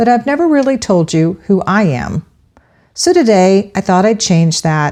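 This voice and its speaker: Over a quiet background, a woman with a warm tone and a dark, mellow tone speaks at a fairly slow pace and medium pitch, with very wide pitch swings and very even loudness. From Central Florida. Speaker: podcast host, local history. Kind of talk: scripted narration. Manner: warm, conversational.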